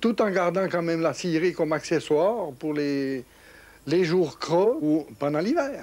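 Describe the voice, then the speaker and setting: This is a very clean recording with a silent background. The speech is fairly slow and shows ordinary pitch variation. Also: man. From Switzerland, canton of Vaud (village at the foot of the Jura). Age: 70s. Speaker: farmer and sawmill operator. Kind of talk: interview, oral history. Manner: halting, with repetitions.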